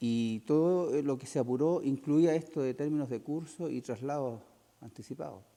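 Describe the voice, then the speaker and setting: A man speaks at a moderate pace in a dark, mellow tone with a fairly high pitch and ordinary pitch variation. The recording is very clean, with a silent background. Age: 60s. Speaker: war veteran. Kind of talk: interview.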